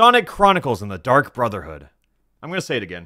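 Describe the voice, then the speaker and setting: Vocal fry runs through a bright, sharp tone that moves in very wide pitch swings. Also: man, very clean recording, silent background. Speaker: YouTuber and streamer. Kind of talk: recording video voiceover script. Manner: repeating and restarting lines.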